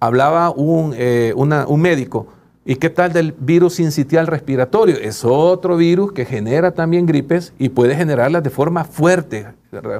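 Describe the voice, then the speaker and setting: Male speech, moderately paced, with pitch varying in an ordinary way. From El Salvador. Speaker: doctor and union leader. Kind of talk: interview. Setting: studio. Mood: calm, explanatory. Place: studio. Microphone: lapel.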